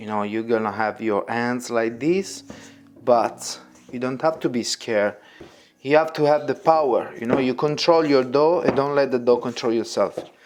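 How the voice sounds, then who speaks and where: Speaking with a strong Italian accent, a man holds a medium pitch. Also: ordinary pitch variation, moderate pace. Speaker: pizza chef and cooking teacher. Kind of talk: tutorial. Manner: casual, non-native phrasing.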